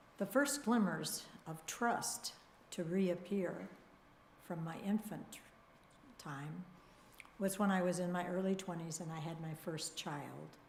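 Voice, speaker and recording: Somewhat breathy and fairly low-pitched, a woman talks at a fairly slow pace with long, frequent pauses and ordinary pitch variation, and audible room echo surrounds her. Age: 80s. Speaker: congregation member sharing personal story. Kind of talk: testimony. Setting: church service.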